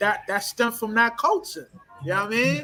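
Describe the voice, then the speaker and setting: A man with an American accent and an extremely high pitch speaks in a raised, projected voice at a fairly quick pace, with ordinary pitch variation and music in the background. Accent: urban American vernacular. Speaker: discussion guest. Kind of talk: casual discussion. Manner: hesitant, many fillers and repetitions.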